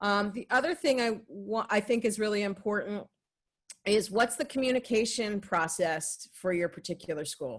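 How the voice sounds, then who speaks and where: A woman speaks at a moderate pace with a medium pitch and ordinary pitch variation. The background is quiet. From New Jersey. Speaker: health and safety expert presenter. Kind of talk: training presentation. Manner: conversational with filler words.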